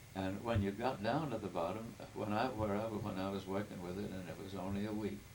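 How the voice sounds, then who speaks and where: Delivered at a fairly quick pace with fairly even intonation, the speech comes through noticeable background noise and audible room echo. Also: man, fairly low pitch for a man. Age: 80s+. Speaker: family elder telling his life story. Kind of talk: oral history interview. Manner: halting.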